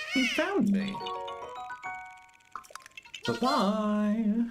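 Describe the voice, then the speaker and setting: Faint music plays in the background as someone uses a put-on character voice at a fairly high pitch. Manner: voice crack on 'bye-bye'.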